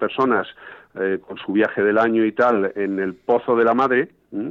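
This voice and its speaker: A man with a plain, everyday voice talks fairly slowly at a medium pitch with ordinary pitch variation. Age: 50s. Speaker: fly fishing guide and fly tier. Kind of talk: casual interview. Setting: phone call.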